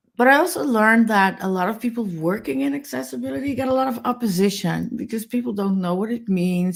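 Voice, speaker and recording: Her pitch swinging very widely, a woman with a Dutch accent talks at a fairly quick pace. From Netherlands. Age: 50s. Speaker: accessibility advocate. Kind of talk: webinar interview.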